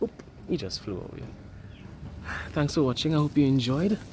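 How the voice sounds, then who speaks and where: Talking at a moderate pace, a man with a Trinidadian accent uses lively intonation. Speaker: photographer. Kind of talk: casual talk to camera. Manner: excited, upbeat.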